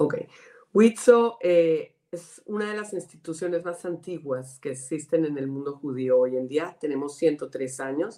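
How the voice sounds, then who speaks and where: With a very deep, low pitch and a dark, mellow tone, a woman speaks at a fairly slow pace using lively intonation. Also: big swings in loudness. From Colombia. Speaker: director of a women's organization. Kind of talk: interview.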